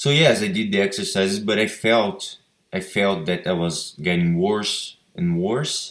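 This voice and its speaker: The speaker has a Brazilian Portuguese accent and talks at a fairly slow pace. Pitch varies in an ordinary way. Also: man, fairly low pitch for a man. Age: 20s. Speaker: patient sharing recovery story. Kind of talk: personal testimony. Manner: halting, with repetitions.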